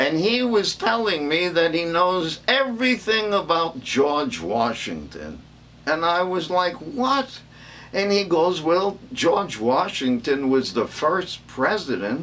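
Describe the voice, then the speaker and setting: A man's fairly high-pitched voice with very wide pitch swings, very even loudness and a very slow pace. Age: 80s+. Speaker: comedian. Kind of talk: stand-up.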